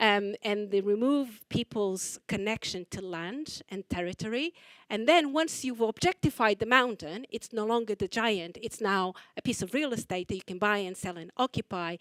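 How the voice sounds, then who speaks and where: A woman with a Portuguese accent speaks at a moderate pace and a fairly high pitch, with lively intonation and big swings in loudness, on a very clean recording with a silent background and a dry, close sound with no echo. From Portugal. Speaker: choreographer. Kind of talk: artist talk interview. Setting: library talk with audience.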